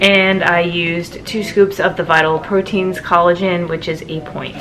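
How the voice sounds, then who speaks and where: A woman talks at a moderate pace in a fairly low pitch, with fairly even intonation and hardly any pauses. Noticeable background noise runs beneath her. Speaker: vlogger. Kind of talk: casual vlog. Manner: soft-spoken.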